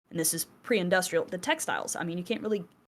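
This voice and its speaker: With a Southern US accent, a woman talks at a fairly low pitch with ordinary pitch variation. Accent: Southern US twang. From US South. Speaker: podcast co-host. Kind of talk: casual chat. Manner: animated, conversational with fillers.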